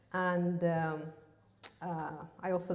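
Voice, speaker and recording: A fairly low-pitched woman with a Russian accent, in audible room echo with noticeable background noise. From Russia, Yakutia. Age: 30s. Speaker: massage therapist giving seminar. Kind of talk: seminar talk. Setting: stage with audience, live stream. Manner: halting, many fillers.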